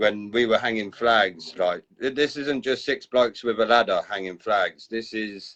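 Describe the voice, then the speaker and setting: A man with a southern English accent speaks at a medium pitch with fairly even intonation and hardly any pauses. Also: moderate pace. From southern England, Basingstoke. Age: 30s. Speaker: community group host. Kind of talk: casual chat.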